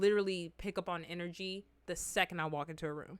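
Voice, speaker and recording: A woman speaks at a moderate pace with an animated, bright, sharp tone. The recording is very clean, with a silent background. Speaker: streamer reacting to videos. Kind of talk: casual chat.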